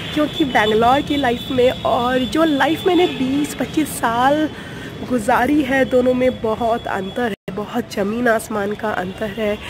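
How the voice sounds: At a fairly slow pace, a woman speaks with fairly high pitch and fairly even intonation over clear background noise.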